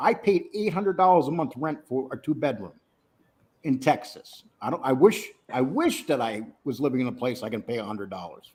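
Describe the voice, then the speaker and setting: At a fairly quick pace, a man talks in a fairly high voice with very wide pitch swings and big swings in loudness. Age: 60s. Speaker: YouTube content creator. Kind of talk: casual chat.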